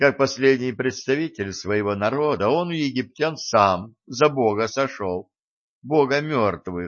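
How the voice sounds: Heard over a quiet background is a natural reading voice.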